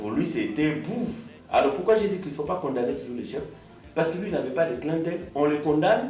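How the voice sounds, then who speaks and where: Against noticeable background noise, a man speaks at a fairly quick pace with a fairly high pitch that swings very widely. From DR Congo. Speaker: musician. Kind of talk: radio interview answer.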